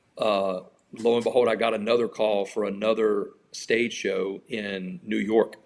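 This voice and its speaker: A man with a Louisiana accent speaks at a fairly slow pace. His fairly low voice keeps fairly even intonation. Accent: Louisiana Southern US. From Louisiana, Baton Rouge area. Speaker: country singer. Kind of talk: interview. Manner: casual, conversational.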